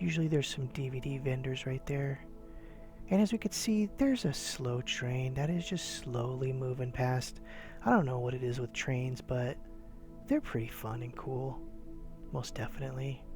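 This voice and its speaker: With music in the background, a man talks at a moderate pace and medium pitch, using ordinary pitch variation. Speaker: eBay reseller and YouTuber. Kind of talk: casual talk to camera, sarcastic flea market tour. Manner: sarcastic, humorous, whispered ASMR style.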